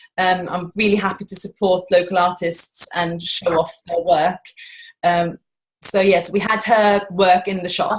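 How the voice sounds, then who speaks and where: The voice is monotone, with flat intonation and a somewhat breathy quality. It moves at a fairly slow pace. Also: woman, medium pitch for a woman. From Norway. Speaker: shopkeeper. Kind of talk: interview answer.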